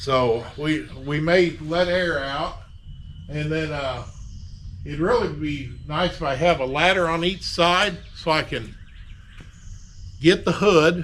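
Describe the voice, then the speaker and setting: A man with a fairly high pitch and ordinary pitch variation speaks at a very slow pace with long, frequent pauses, and the room echo is audible. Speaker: DIY auto body repair YouTuber. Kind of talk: casual workshop tutorial. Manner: loud, projecting to reach camera mic.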